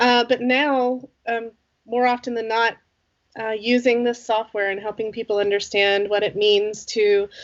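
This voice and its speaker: In an American accent, a woman speaks at a fairly high pitch and fairly slow pace with monotone, flat intonation. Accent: American, non-native in Sweden. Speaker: company CEO, flow metrics consultant. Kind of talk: interview.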